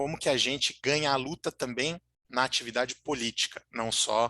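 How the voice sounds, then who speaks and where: A man's bright, sharp tone comes through with a dry, close sound, no echo and a quiet background. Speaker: lecturer on political strategy. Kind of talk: online lecture. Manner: halting, many fillers.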